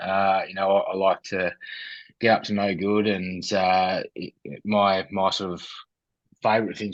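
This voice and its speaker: A man speaks with an Australian accent in a very deep, low voice. His intonation stays monotone and flat. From Australia, Ballarat, Victoria. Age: 30s. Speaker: mental health charity founder, former personal trainer. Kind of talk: interview, personal testimony. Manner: hesitant, many fillers.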